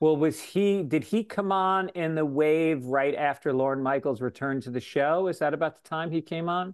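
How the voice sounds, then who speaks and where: Against a quiet background, a man with an unremarkable speaking voice talks with hardly any pauses and ordinary pitch variation. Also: fairly high pitch for a man, moderate pace. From New York (Tarrytown). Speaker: comedian and podcast host. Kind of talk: casual chat.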